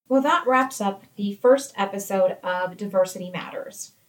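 A woman with an American accent speaks at a fairly slow pace in a normal speaking voice, her medium pitch showing ordinary pitch variation. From United States. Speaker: workplace podcast co-host, employee engagement coordinator. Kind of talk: scripted educational podcast.

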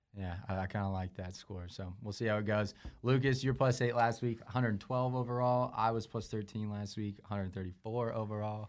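A man with an unremarkable speaking voice, fairly low in pitch, talks at a fairly quick pace with fairly even intonation and hardly any pauses. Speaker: podcast host. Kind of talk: casual chat. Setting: studio.

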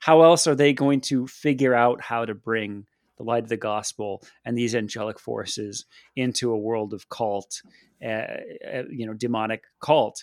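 With a dry, close sound and no echo, a man with an American accent and an unremarkable speaking voice talks at a moderate pace and medium pitch with ordinary pitch variation. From United States. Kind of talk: casual discussion.

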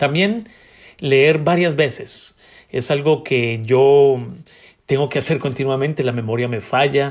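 At a fairly slow pace, a man speaks at a medium pitch in a plain, everyday voice. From Colombia, Bogotá. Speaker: podcast host. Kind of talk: book review talk.

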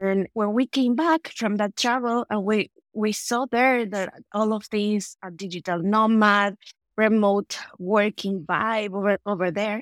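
Speaking with a Spanish accent at medium pitch, a woman talks at a fairly slow pace with ordinary pitch variation and a dry, close sound with no echo. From El Salvador. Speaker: productivity tool consultant. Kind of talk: interview. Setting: remote call.

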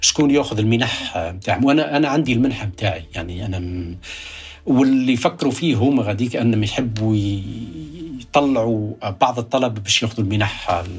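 A man with a normal speaking voice talks at a moderate pace, his pitch medium and its variation ordinary. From Tunisia, rural Kasserine. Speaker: astrophysicist. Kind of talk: interview storytelling.

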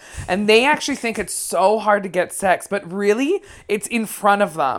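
A woman talks with ordinary pitch variation. She has a Canadian accent. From Vancouver, Canada. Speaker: comedian. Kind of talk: casual interview chat. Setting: lying on sofa, interview at host's home.

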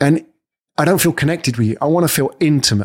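A man with a British accent sounds animated, with lively intonation. The recording is very clean, with a silent background. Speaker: podcast host and coach. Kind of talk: scripted-style educational monologue. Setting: studio with microphone. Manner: animated, performed delivery.

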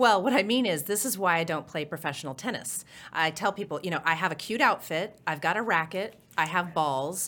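A woman with an unremarkable speaking voice talks at a medium pitch. Her pace is fairly quick and her intonation lively. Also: very clean recording, silent background. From Oklahoma. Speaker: transit agency finance executive. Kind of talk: interview.

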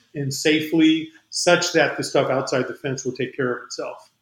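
This is an unremarkable speaking voice with an American accent. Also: man. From New Mexico, US. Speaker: aerospace company CEO. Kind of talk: interview.

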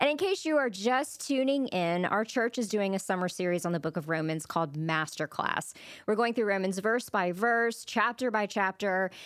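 An ordinary speaking voice from a woman at medium pitch, with lively intonation, very even loudness, a moderate pace and hardly any pauses, on a very clean recording with a silent background. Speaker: church podcast co-host. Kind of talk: casual faith conversation.

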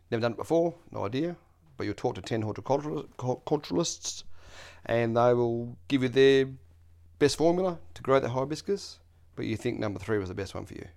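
Big swings in loudness mark a man with an Australian accent speaking fairly quickly at medium pitch in a very clean recording with a silent background. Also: lively intonation. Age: 40s. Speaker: landlord and self-taught maker. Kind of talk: casual chat.

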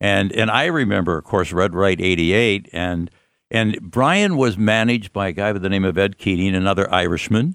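Against a quiet background, a man with an American accent talks at a moderate pace, fairly low in pitch, his loudness very even and his pitch varying in an ordinary way. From US Midwest, Pontiac, Michigan. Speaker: radio host. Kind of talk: interview. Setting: studio. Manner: halting.

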